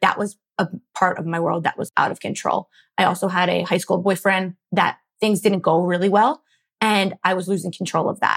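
With an American accent and a normal speaking voice, a woman talks at a moderate pace in a medium pitch with fairly even intonation, the sound dry and close with no echo. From Philadelphia suburbs, US. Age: 20s. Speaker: food blogger and entrepreneur. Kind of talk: casual interview.

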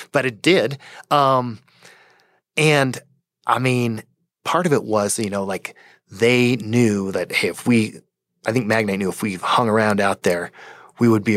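This man talks at a moderate pace with an American accent and ordinary pitch variation. The recording is very clean, with a silent background. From Colorado, Fort Collins. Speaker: tech company co-founder. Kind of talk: interview.

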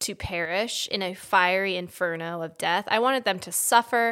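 With an American accent, a woman speaks in a bright, sharp tone. Her pace is moderate and her pitch variation ordinary. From Washington DC area, US. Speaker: podcast host. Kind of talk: casual comedic chat.

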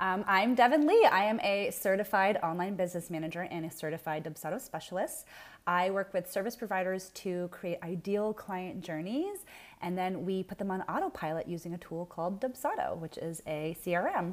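On a very clean recording with a silent background, a woman with a plain, everyday voice speaks at a medium pitch and a fairly quick pace. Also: ordinary pitch variation. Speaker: business manager. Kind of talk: casual interview chat.

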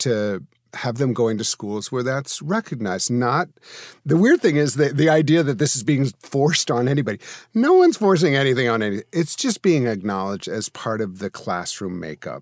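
A normal speaking voice with lively intonation at a moderate pace, dry and close with no echo, on a very clean recording with a silent background. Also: man. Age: 50s. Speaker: minister and interfaith advisor. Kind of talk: casual interview chat.

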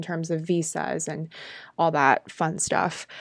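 A woman's fairly low voice with a Californian accent, against a quiet background. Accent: Californian American. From Southern California. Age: 20s. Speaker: podcast host. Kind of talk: personal storytelling monologue.

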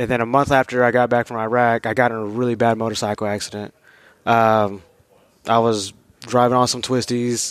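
With an American accent, a man talks at a medium pitch and a fairly quick pace. The recording is very clean, with a silent background. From Texas, Dallas. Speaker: Army veteran. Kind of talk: casual chat. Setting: hunting camp.

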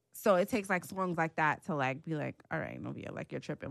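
A woman talks at a very fast pace with vocal fry against a quiet background. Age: 20s. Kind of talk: casual chat.

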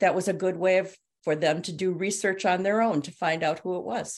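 At a moderate pace, a woman speaks in a normal speaking voice of medium pitch with ordinary pitch variation over a quiet background. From US Midwest, Milwaukee, Wisconsin. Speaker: children's author and teacher. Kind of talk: interview. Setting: video call.

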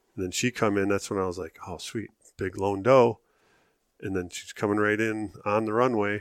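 A man with an American accent and an ordinary speaking voice talks at a moderate pace on a very clean recording with a silent background. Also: fairly low pitch for a man, fairly even intonation. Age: 40s. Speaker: hunter. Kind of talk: casual chat.

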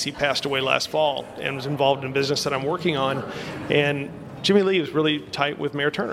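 A man with a fairly high voice talks at a very fast pace over noticeable background noise. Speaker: guest, grandson of former team owner. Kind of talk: radio interview.

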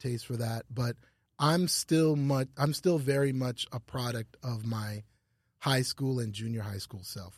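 A man talks at a moderate pace and medium pitch, somewhat breathy, with ordinary pitch variation. The sound is dry and close, with no echo. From Canada (Ottawa). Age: 40s. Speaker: fashion store owner. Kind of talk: casual interview chat.

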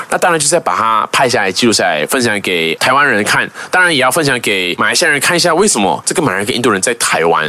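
A man talks at a very fast pace with hardly any pauses and very wide pitch swings. There is noticeable background noise. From Malaysia. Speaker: YouTuber. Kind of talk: casual interview.

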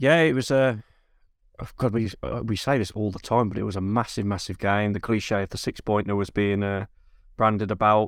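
A man's normal speaking voice, fairly low in pitch with ordinary pitch variation and a moderate pace, on a very clean recording with a silent background. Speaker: podcast co-host. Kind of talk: casual football podcast chat. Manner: relaxed, conversational, laughs often.

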